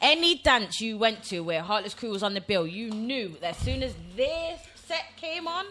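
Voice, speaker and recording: Speaking in a Nottingham accent, a woman with a fairly high pitch keeps a moderate pace, her tone animated and her pitch swinging very widely. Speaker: podcast co-host. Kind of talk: casual chat.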